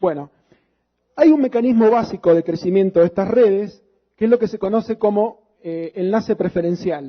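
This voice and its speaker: A man with a high pitch and ordinary pitch variation. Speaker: lecturer. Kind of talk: lecture. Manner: fast.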